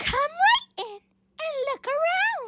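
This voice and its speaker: A female-sounding, put-on character voice pitched extremely high for a woman. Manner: jolly.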